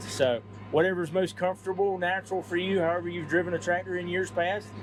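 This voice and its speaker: A man talks as noticeable background noise stays present behind him. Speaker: tractor sales manager. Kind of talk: product demo walkthrough. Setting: inside a tractor cab. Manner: loud; casual, conversational.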